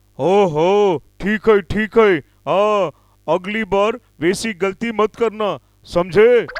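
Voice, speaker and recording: A man puts on a cartoonish character voice, pitched high. He speaks at a very slow pace. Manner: calm, authoritative.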